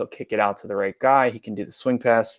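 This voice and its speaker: A plain, everyday voice with an American accent speaks at a moderate pace with fairly even intonation, in a dry, close sound with no echo on a very clean recording with a silent background. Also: man. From New York. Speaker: sports writer and podcaster. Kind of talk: casual chat.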